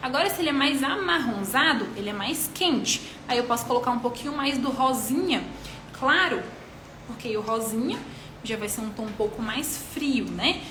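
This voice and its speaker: A woman's high voice at a moderate pace, with ordinary pitch variation, noticeable background noise and audible room echo. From Minas Gerais, Brazil. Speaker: micropigmentation artist and instructor. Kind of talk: live-stream tutorial, answering questions.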